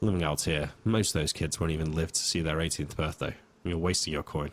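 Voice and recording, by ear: In a put-on character voice, a man speaks quietly and raspily at a very deep, low pitch, moving at a fairly quick pace with very even loudness and fairly even intonation.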